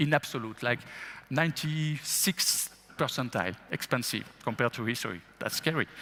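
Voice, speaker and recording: A man speaks with a French accent at a moderate pace. His tone is bright and sharp, and his pitch is fairly high. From France. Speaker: investment executive. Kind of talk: interview. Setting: stage with audience.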